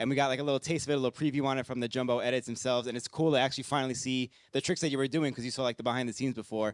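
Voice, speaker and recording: A man speaks very fast in a New York accent, at medium pitch and in a monotone with flat intonation. The sound is dry and close with no echo, in a very clean recording with a silent background. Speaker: podcast host. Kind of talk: Q&A interview.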